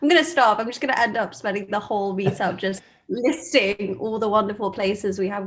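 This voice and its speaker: A woman with a London accent talks at a moderate pace with hardly any pauses. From London, England. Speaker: meetup host. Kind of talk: casual chat. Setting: video call.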